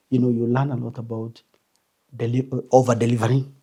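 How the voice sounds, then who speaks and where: A man with a dark, mellow tone and medium pitch talks at a fairly quick pace. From Kenya (Meru). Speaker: finance executive. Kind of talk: interview. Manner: halting, many repetitions.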